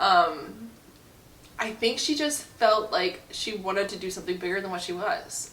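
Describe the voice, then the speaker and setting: A woman speaks over noticeable background noise. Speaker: book reviewer. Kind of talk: casual talk to camera. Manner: sassy, increasingly irritated.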